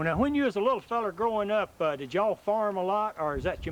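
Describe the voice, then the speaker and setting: This man talks very fast with a rural Southern US accent. His voice sits high for a man. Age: 50s. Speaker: oral history interviewer. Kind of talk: oral history interview.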